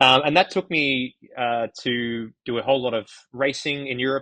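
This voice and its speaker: A man with an Australian accent speaks at a medium pitch in a bright, sharp tone. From Australia, Gold Coast. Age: 30s. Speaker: runner and running media founder. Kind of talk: podcast interview.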